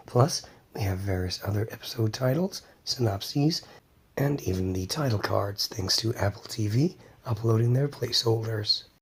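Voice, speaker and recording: Soft-spoken whispering at a moderate pace, somewhat breathy. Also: man. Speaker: cartoon news and review channel host. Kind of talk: casual talk to camera, news review.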